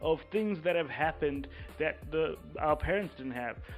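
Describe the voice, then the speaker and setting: Music plays in the background as a man speaks at a moderate pace. His voice is fairly high in pitch, with lively intonation. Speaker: podcast host. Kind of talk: podcast interview, host side.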